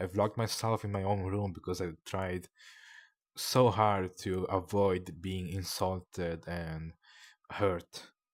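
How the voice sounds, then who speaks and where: A man at a very deep, low pitch and very slow pace, in a non-native accent, on a very clean recording with a silent background. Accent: non-native accent, noticeable. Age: 20s. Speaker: streamer. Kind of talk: personal confession stream. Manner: halting, long pauses.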